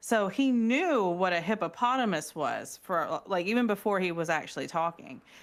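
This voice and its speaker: On a very clean recording with a silent background, a woman talks at a moderate pace with lively intonation, very even loudness, and hardly any pauses. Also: medium pitch for a woman. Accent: Southern. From US South. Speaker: podcast co-host. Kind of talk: casual chat.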